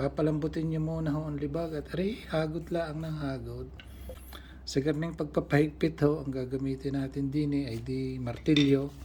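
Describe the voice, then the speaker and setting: The speaker has a Batangas accent. The pace is moderate. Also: man. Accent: Batangueño Tagalog. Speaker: balisong knife restorer and channel host. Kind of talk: tutorial.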